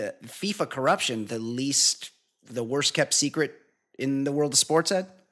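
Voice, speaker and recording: A man with a normal speaking voice, fairly high in pitch, with lively intonation at a fairly slow pace. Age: 40s. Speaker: podcast host. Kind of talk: casual chat. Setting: studio.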